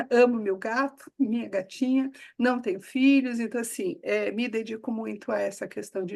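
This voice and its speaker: A woman with a plain, everyday voice speaks at a fairly slow pace and a fairly high pitch. Her pitch variation is ordinary, with a quiet background. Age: 60s. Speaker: coach and consultant. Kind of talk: casual interview.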